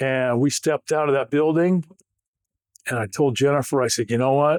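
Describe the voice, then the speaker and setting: Very fast and fairly high-pitched, a man with an American accent speaks on a very clean recording with a silent background. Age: 60s. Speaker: former pro football player and speaker. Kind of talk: interview conversation. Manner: animated.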